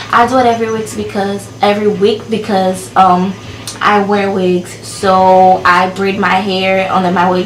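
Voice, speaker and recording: Over noticeable background noise and audible room echo, a woman speaks with fairly even intonation. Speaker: beauty vlogger. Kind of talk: casual vlog review. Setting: filming alone with camera.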